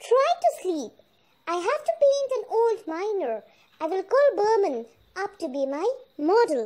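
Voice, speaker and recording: Doing a put-on character voice, a woman sounds squeaky at an extremely high pitch with very wide pitch swings. She talks at a fairly slow pace with long, frequent pauses. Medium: read story. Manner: warm, anxious.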